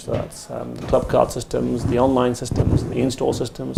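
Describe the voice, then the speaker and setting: A man speaks with an English accent. Noticeable background noise can be heard. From England, Indian parents. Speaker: retail technology executive. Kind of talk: podcast interview. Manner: hesitant, many fillers.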